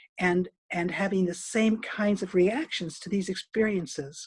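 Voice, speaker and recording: A somewhat breathy woman's voice at medium pitch with ordinary pitch variation. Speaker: dance movement therapist. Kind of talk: online presentation. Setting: video call. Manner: fast.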